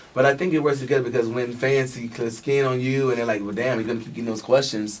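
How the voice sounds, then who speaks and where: With a slight New York accent, a man rushes at a very fast pace in a monotone, flat delivery at medium pitch, with audible room echo and noticeable background noise. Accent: picked up some New York. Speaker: reality TV cast member and R&B pop artist. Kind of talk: radio interview.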